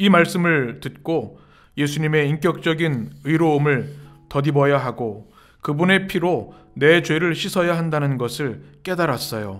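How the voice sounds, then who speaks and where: Over music in the background, the speaker talks at a very slow pace with long, frequent pauses. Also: man. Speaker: pastor.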